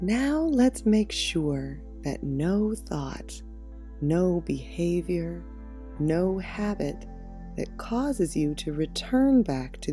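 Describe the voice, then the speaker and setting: A soft-spoken woman at a very slow pace, with music in the background. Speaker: meditation guide. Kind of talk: guided meditation.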